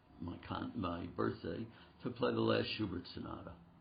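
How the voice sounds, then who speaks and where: Audible room echo surrounds a man speaking at a moderate pace in a very deep, low pitch. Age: 80s+. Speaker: concert pianist and piano teacher. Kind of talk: interview.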